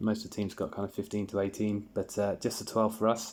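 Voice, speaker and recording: On a very clean recording with a silent background, a man speaks with a British accent in a fairly low pitch. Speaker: sports card collector YouTuber. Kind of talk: casual video review. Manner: halting, many fillers and repeats.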